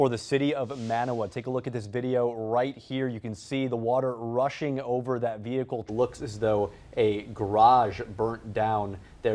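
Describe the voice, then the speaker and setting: The man's voice has a dark, mellow tone. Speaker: TV news anchor and reporter. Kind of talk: TV news anchoring. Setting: studio.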